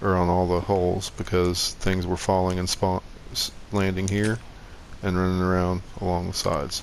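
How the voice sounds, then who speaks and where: This is a man with a plain, everyday voice. His pitch sits fairly low. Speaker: gaming YouTuber. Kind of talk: tutorial.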